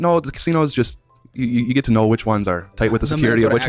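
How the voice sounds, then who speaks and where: Music in the background behind a man at medium pitch, talking at a very fast pace with a Minnesota accent and ordinary pitch variation. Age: 20s. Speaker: guest discussing personal debt.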